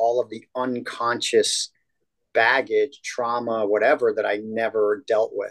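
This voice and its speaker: A fairly slow pace in a dry, close recording without echo. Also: man. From upstate New York. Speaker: holistic health coach. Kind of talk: interview. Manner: animated.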